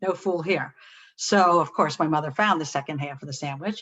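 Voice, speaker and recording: In a normal speaking voice, a woman talks at a fairly low pitch with fairly even intonation. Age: 60s. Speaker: psychologist presenting a webinar. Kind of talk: webinar lecture. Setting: webinar.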